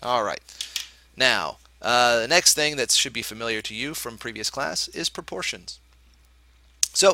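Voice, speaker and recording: The man's voice has a bright, sharp tone. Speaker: math teacher. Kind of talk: lecture. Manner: fast.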